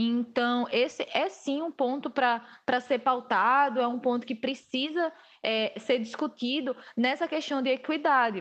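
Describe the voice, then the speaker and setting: A high-pitched woman at a fairly slow pace, with ordinary pitch variation and a quiet background. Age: 20s. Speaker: public relations student. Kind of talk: casual interview.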